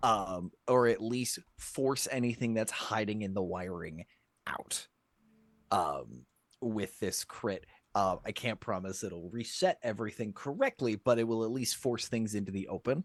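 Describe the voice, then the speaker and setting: This put-on character voice is raspy, with ordinary pitch variation, a moderate pace and a quiet background. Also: man, medium pitch for a man. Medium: actual play. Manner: analytical, hedging.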